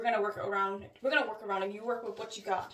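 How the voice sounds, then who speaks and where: Audible room echo is present in the clip. A woman does the talking. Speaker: beauty vlogger. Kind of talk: casual vlog talk. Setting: small bathroom. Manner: hesitant, many fillers.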